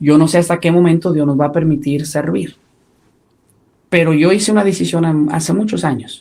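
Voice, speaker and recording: Pitched fairly high, a man talks at a moderate pace with ordinary pitch variation. His tone is dark and mellow. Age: 40s. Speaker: pastor. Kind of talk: sermon.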